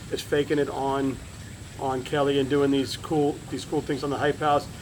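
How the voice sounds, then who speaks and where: Over a fair amount of background noise, a man talks in a fairly high voice. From South Florida. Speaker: wrestling podcast host. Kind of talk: casual interview. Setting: at home.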